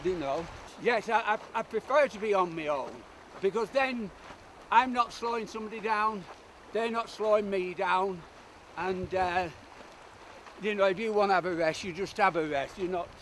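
With a British accent, a man speaks at a moderate pace in a high pitch with ordinary pitch variation, leaving long, frequent pauses, over light background noise in a dry sound with no echo. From United Kingdom. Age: 70s. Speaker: ultramarathon runner. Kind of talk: interview answer. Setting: outdoors. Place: open country. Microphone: camera far.

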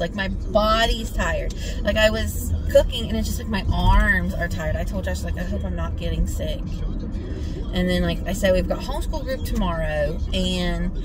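A woman's moderate-paced speech is accompanied by noticeable background noise. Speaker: vlogger. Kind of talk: casual vlog chat. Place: car. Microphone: phone near.

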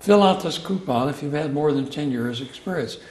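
There is audible room echo as a man speaks at a fairly high pitch with ordinary pitch variation.

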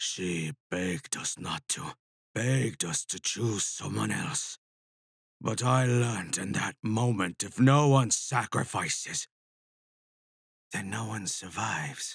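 Raspy and put-on, this man's character voice sits at a medium pitch with lively intonation. He moves at a fairly slow pace with long, frequent pauses, and the sound is dry and close with no echo. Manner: calm, cold, mocking.

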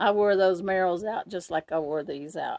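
An unremarkable speaking voice from a woman, fairly low in pitch with ordinary variation, at a fairly quick pace over light background noise. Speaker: gear reviewer. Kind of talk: casual vlog chat.

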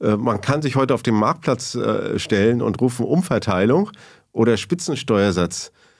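There is a quiet background. Against it, a man speaks at a moderate pace. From East Germany (GDR). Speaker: sociologist and professor; professor. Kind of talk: long-form interview. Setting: studio. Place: studio. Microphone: studio mic.

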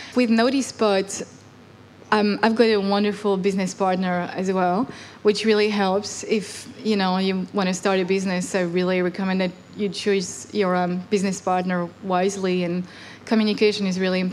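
With light background noise behind her, a woman speaks at a moderate pace in a monotone, flat intonation. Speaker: interviewee. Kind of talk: interview answer. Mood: reflective, light humor. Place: hall. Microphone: handheld.

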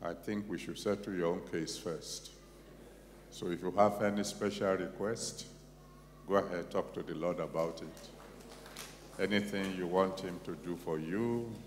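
Over light background noise, a man speaks at a fairly slow pace. His voice is very deep and low, with fairly even intonation. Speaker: pastor leading prayer. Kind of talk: sermon. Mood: solemn, prayerful. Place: church. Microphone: handheld.

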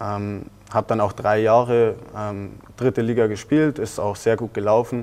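A man at a moderate pace, with fairly even intonation and long, frequent pauses. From southeastern Bavaria, Germany. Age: 20s (20). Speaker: professional footballer. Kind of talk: interview. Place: studio. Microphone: lapel.

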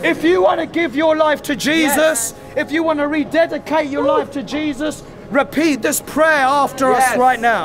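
The speech moves at a moderate pace with ordinary pitch variation. Clear music plays in the background. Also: man, extremely high pitch for a man. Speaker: street evangelist. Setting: outdoors on a busy city street. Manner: emphatic and repetitive, saying each prayer phrase twice so the crowd can echo it; fervent, rising, call-and-response cadence. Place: street.

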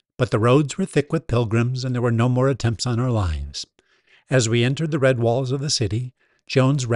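Against a quiet background, this is plain reading aloud with fairly even intonation.

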